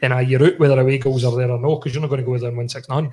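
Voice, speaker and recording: Recorded very cleanly against a silent background, a man speaks with a Glasgow accent. His voice is somewhat breathy and his intonation fairly even. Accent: Scottish (Glasgow). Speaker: podcast host. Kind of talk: casual chat. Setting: studio.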